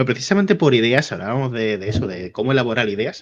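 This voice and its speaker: The speaker is a man. His pitch is in the medium range. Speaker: YouTube interviewer. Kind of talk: interview. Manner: calm at first, then fast.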